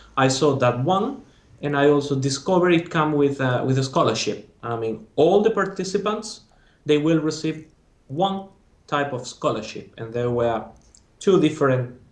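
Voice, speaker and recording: Speaking with a Spanish accent, a man has a fairly high voice. His intonation is lively and his pace moderate. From Spain. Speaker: former master's student. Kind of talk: interview.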